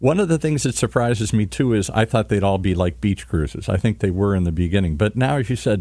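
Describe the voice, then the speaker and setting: Speaking at a very fast pace with hardly any pauses, a man with fairly low pitch and a dark, mellow tone keeps a very even loudness while his pitch swings very widely. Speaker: podcast host. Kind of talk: podcast interview. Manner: upbeat.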